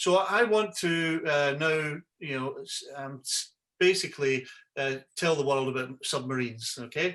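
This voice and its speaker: A man with a Scottish accent speaks at a moderate pace in a fairly high, bright and sharp voice, with ordinary pitch variation against a quiet background. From Scotland. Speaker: yacht broker and website host; website host. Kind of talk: webinar tutorial. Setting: video call. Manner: halting, many fillers and repeats. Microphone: video call.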